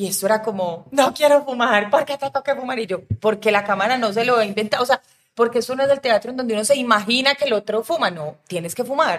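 The woman's pitch is fairly high. She talks at a very fast pace. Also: ordinary pitch variation. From Colombia, Medellín. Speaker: film director. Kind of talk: casual chat.

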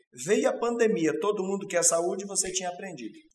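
A man's voice with audible room echo. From Paraná, Brazil. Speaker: company interview host. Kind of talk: interview. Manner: formal.

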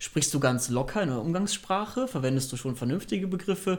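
A man's high-pitched voice swings very widely in pitch as he talks fairly quickly. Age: 20s. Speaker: startup co-founder. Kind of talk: interview.

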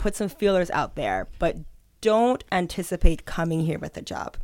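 At a fairly slow pace, a plain, everyday voice moves with lively intonation and big swings in loudness, captured on a very clean recording with a silent background. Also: woman. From northern Israel, from age fourteen; born in New York. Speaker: immigration advisor. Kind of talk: interview.

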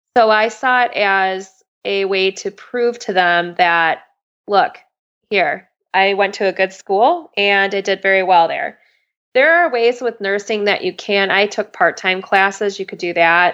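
In a plain, everyday voice, a woman speaks at a fairly slow pace and medium pitch over a quiet background. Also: ordinary pitch variation. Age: 30s. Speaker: medical student and former ICU nurse. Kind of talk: interview conversation.

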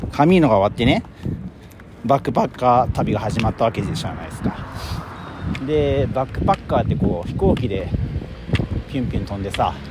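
A man at medium pitch, fairly quick pace, very wide pitch swings, long and frequent pauses, and noticeable background noise. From Japan, Kobe. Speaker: podcaster, hiker. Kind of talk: casual walking monologue. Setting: outdoors, walking trail. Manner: casual, chatty with frequent laughs.

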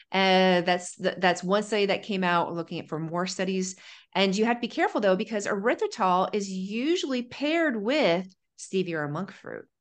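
With an American accent, a woman talks in an animated tone at medium pitch and a moderate pace, her pitch varying in an ordinary way against a quiet background. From Ohio, US Midwest. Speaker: pharmacist and nutrition coach. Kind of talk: interview conversation.

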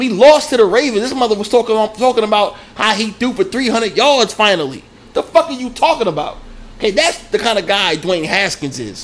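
Noticeable background noise sits under a man's high-pitched voice. He talks at a fairly quick pace with lively intonation. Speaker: sports podcast host. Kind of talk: angry profane rant. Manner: loud, furious, insulting, shouting; emphatic, punchy, list-like (First of all, Secondly, Third).

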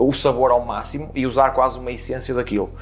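A man talks in an ordinary speaking voice. He has a medium pitch and a moderate pace. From Portugal, Porto. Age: 30s. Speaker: chef. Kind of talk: interview.

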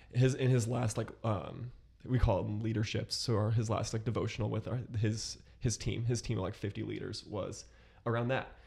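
At a moderate pace, a man with a medium pitch and a dark, mellow tone speaks in a monotone, flat way, with vocal fry. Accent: American. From US Midwest, Columbus, Ohio. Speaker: podcast guest, young professional. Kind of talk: casual chat.

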